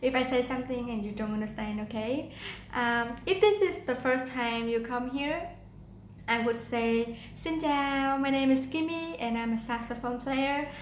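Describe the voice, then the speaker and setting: A woman with a high pitch and a Vietnamese accent speaks with ordinary pitch variation, and room echo is audible. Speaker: saxophone player. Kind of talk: tutorial.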